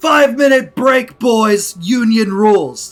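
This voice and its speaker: A put-on character voice booms out at a fairly high pitch. The pace is fairly slow. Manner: booming, loud, commanding.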